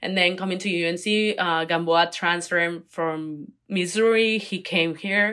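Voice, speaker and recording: A woman with a Spanish accent speaks at a fairly low pitch and a fairly slow pace, with fairly even intonation and hardly any pauses, on a very clean recording with a silent background. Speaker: college athlete, Olympic diver. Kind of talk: interview.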